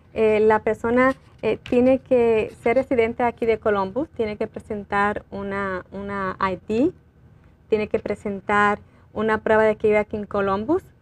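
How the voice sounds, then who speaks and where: This woman has a fairly high pitch and a fairly slow pace. Her intonation stays fairly even. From Puerto Rico. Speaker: librarian; guest. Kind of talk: community TV interview. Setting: TV studio. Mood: calm, informative. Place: studio. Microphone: lapel.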